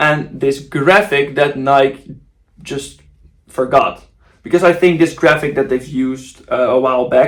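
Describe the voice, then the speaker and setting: Speaking at a fairly slow pace, a man with a Dutch accent uses a fairly high pitch. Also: ordinary pitch variation. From Netherlands. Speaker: football kit designer YouTuber. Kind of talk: casual video commentary. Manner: casual, with fillers and restarts.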